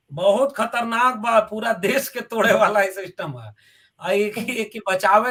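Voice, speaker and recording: Speaking with a Bihari accent, a man uses a high pitch with ordinary pitch variation. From Bhojpuri-speaking region of north India. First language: Bhojpuri (speaking Hindi). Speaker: professor. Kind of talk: political interview.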